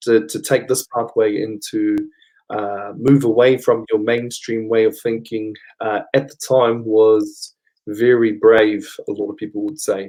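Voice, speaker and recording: A man speaks at a fairly slow pace with a dark, mellow tone, fairly even intonation and big swings in loudness. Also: medium pitch for a man. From New Zealand, Taupō, central North Island. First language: Māori. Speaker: Māori cultural practitioner. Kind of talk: interview.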